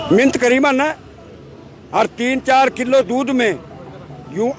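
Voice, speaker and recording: A man speaks with crowd noise in the background. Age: 80s+. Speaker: farmer. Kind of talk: street interview. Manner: animated.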